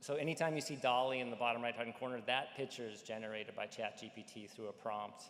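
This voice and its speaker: A man at medium pitch, very fast with hardly any pauses, his intonation fairly even. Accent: slight Midwestern. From North Dakota, Fargo. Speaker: AI company executive. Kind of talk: conference presentation. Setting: conference stage with audience. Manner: casual, filler-heavy.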